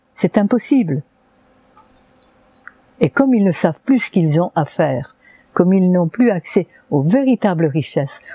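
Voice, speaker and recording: The sound is close and dry, with no echo at all. A woman's pitch swings very widely as she talks. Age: 80s+. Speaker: naturopath. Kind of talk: interview answer.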